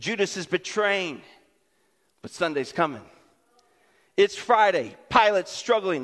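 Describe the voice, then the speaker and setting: A high-pitched man at a fairly slow pace, with ordinary pitch variation and long, frequent pauses. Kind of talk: sermon, preacher in full flow. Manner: animated, rhythmic, call-and-response; building short punchy repetitions to a climax.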